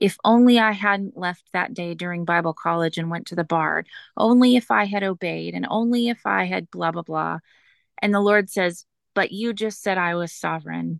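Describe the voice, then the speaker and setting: A woman with a plain, everyday voice speaks at a fairly low pitch and moderate pace with ordinary pitch variation, in a dry, close sound with no echo over a quiet background. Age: 40s. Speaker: single mother sharing faith story. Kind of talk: testimony.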